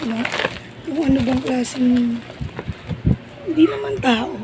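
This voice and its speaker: The speech moves at a moderate pace. Noticeable background noise runs behind it. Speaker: vlogger. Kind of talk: casual vlog.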